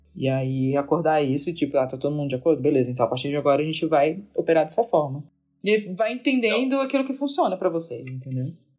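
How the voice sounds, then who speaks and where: Over music in the background, a woman with a very deep, low voice talks at a very fast pace with lively intonation. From Santa Catarina, Brazil (Florianópolis). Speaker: agile and organizational culture consultant. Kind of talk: casual podcast conversation.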